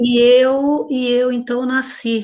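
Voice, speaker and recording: A woman speaks in a high voice. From Paraná, southern Brazil. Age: 50s. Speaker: church worship leader. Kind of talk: interview testimony.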